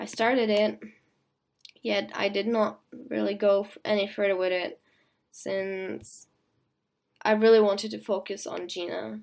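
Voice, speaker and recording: At a fairly slow pace with long, frequent pauses, a woman speaks in a flat monotone at medium pitch while her loudness swings widely. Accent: non-native. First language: not English (English is third language). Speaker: costume design student vlogger. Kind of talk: video blog explanation. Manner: hesitant, some stuttering.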